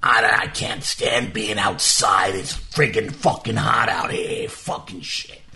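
Against clear background noise, a man puts on a character voice, speaking at a fairly slow pace with hardly any pauses. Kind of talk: crude, profane. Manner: grumpy, complaining.

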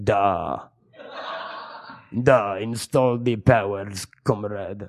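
Putting on a character voice with a Russian accent, a man talks very slowly at a fairly low pitch with ordinary pitch variation, the sound dry and close with no echo. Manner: comic, exaggerated.

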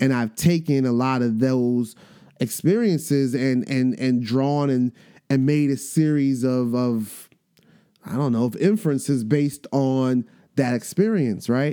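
At a fairly slow pace, a man with a medium pitch speaks in a dark, mellow tone with ordinary pitch variation. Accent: American. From New York. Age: 40s. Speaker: podcast host, educator and rapper. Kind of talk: casual monologue. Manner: animated, hesitant with fillers.

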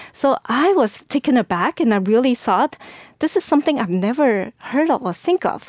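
In a very clean recording with a silent background and a dry, close sound with no echo, a woman with a Chinese accent speaks with lively intonation. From China. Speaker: school board candidate. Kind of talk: interview. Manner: halting.

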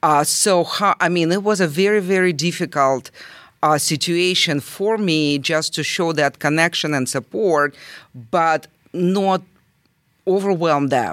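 A woman with a Russian accent speaks fairly slowly at a fairly low pitch with ordinary pitch variation and very even loudness. The recording is very clean, with a silent background. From southern Russia. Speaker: volunteer aiding refugees. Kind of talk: interview. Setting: library recording room. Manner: emotional, hesitant.

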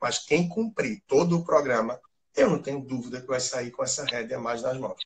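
Here a man speaks with a fairly high pitch and a somewhat breathy quality. His intonation is lively. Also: moderate pace. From Recife, Brazil. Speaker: financial expert. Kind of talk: live interview.

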